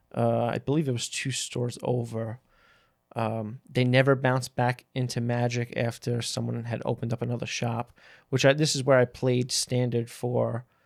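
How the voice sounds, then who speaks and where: A man with an American accent speaks at a moderate pace, medium in pitch with monotone, flat intonation. The recording is very clean and dry, with a silent background, a close sound and no echo. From New York City. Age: 30s. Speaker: card game player. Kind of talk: casual chat.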